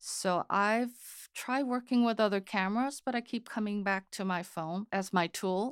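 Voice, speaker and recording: A woman at a medium pitch speaks fairly slowly with hardly any pauses and ordinary pitch variation, on a very clean, dry, close recording with a silent background and no echo. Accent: Korean. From Korea (Seoul), then California from age 13. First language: Korean. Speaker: photographer and photography teacher. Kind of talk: interview.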